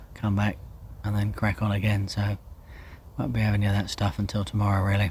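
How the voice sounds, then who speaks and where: Here a man talks at a very fast pace in a fairly low pitch. His voice sounds somewhat breathy. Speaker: angler vlogger. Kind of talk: casual vlog narration. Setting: outdoors by a lake. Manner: hesitant, filler-heavy.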